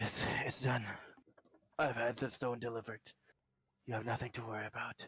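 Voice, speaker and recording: A put-on character voice sounds gruff and raspy, with monotone, flat intonation. Long, frequent pauses break it up, and the sound is dry and close with no echo. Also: man, medium pitch for a man, moderate pace. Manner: keeping voice steady.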